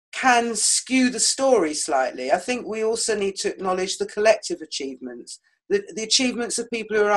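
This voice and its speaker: A woman with a British accent, a fairly high pitch and a fairly quick pace. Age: 60s. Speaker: author and historian. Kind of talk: podcast interview.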